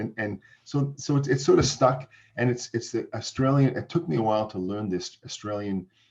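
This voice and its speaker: The pace is fairly quick. There is a slight North American accent. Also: man, medium pitch for a man, ordinary pitch variation. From Canada. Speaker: tech company presenter. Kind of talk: online Q&A interview. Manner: halting, many repetitions.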